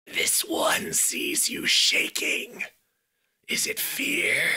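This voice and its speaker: A man speaks in a raspy, put-on character voice. His pace is very slow. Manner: menacing.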